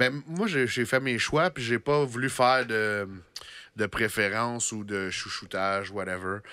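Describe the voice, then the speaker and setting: A man's bright, sharp tone at a fairly slow pace, with ordinary pitch variation and dry sound with no echo. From Quebec. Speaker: podcast host. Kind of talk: casual chat. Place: studio. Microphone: studio mic.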